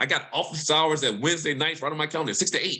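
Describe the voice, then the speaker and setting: A bright, sharp-toned male voice pitched fairly high. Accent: Mississippi. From Mississippi. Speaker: environmental justice researcher. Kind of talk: panel discussion. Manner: fast.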